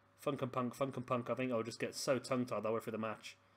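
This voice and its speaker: At a very fast pace, a man with a medium pitch speaks with an English accent. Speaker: gaming commentator. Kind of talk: video game wrestling commentary. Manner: animated commentary, sometimes tongue-tied.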